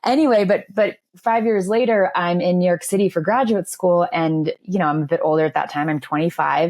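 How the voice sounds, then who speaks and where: With a normal speaking voice, a woman of medium pitch talks at a fairly quick pace with lively intonation, very even loudness and hardly any pauses. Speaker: journalist and author. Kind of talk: podcast interview. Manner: conversational, many fillers.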